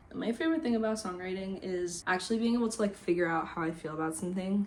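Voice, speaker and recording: Someone with an American accent talks at a very fast pace with ordinary pitch variation over noticeable background noise. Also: woman, medium pitch for a woman. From US Midwest (Indiana and Chicago). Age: 20s. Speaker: singer-songwriter and YouTuber. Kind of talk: casual Q&A vlog. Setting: home, talking to camera.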